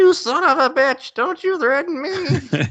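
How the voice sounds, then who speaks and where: Putting on a character voice, the speaker delivers lines at a fairly slow pace in a high pitch. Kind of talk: gruff, tough-guy. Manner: over-the-top, aggressive.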